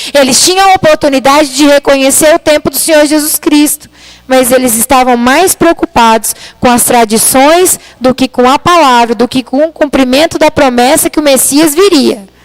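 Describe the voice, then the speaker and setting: In a dry, close recording with no echo, a soft-spoken woman with a high pitch talks at a moderate pace with ordinary pitch variation. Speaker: preacher. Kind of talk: sermon. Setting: church livestream.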